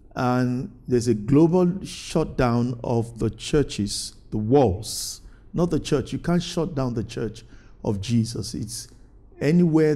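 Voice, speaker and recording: A dark, mellow tone with ordinary pitch variation. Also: man. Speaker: pastor. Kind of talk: sermon. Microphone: lapel.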